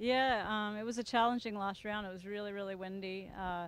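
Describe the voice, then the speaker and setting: A woman speaks at a fairly quick pace. The sound is dry, with no echo. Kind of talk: interview answer. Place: open country. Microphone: handheld.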